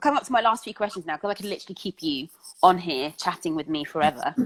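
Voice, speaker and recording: A woman talks very fast with very wide pitch swings and big swings in loudness, and the sound is dry and close with no echo. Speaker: interviewer. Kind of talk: interview conversation.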